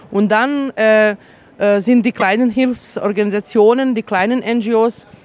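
With noticeable background noise, a woman talks at medium pitch and with fairly even intonation. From Bosnia. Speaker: refugee aid worker, human rights activist. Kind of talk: testimony at a tribunal. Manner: halting, with many fillers.

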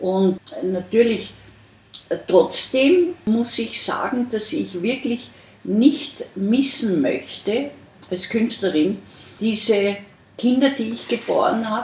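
A woman at a fairly high pitch, with lively intonation, a very slow pace, and long, frequent pauses. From Austria. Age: 70s. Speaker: artist. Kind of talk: interview. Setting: artist's studio.

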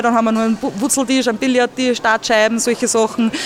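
There is noticeable background noise as a woman speaks in a high voice. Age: 20s. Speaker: youth centre manager. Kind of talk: interview. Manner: casual, hesitant with fillers.

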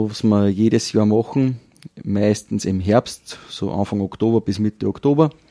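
Recorded dry and close with no echo against a silent background on a very clean track, a man speaks at a fairly slow pace with a fairly low pitch and a dark, mellow tone. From Upper Austria, Kirchdorf an der Krems. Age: 40s. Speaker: folk dance group leader and farmer. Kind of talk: casual interview. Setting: wine bar.

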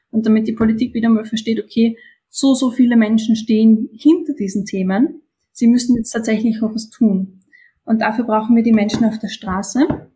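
Somewhat breathy, a woman's fairly high voice carries a dark, mellow tone. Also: fairly even intonation, moderate pace. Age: 20s. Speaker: climate activist, student. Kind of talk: interview.

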